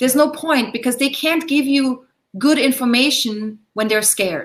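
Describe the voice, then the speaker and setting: A high-pitched woman at a moderate pace, with ordinary pitch variation and very even loudness. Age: 40s. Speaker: astrologer and coach. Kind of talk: live Q&A interview.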